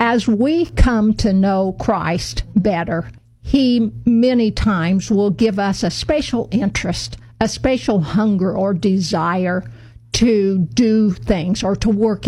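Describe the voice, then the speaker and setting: A woman with an American accent speaks at a very slow pace and medium pitch. Her tone is dark and mellow, and somewhat breathy. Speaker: radio host. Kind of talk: casual chat. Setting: studio.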